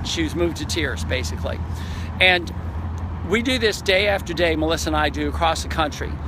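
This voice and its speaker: A man speaks in a dry space with no echo. Noticeable background noise is present. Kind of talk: casual vlog chat. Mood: moved, enthusiastic. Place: waterside. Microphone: phone near.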